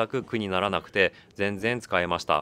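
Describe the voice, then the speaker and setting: A man's bright, sharp tone at a moderate pace. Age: 40s. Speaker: YouTuber reviewing camera gear on station walks. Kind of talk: post-recorded voice-over narration of product review.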